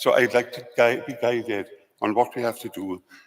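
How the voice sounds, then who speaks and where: A man with a Welsh accent talks at a fairly quick pace. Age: 70s. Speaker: lay church representative. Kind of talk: formal question at assembly. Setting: convention centre assembly.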